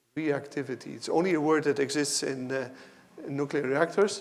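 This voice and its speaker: With audible room echo, a man speaks at a fairly quick pace and fairly high pitch, his intonation fairly even. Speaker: professor. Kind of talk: lecture.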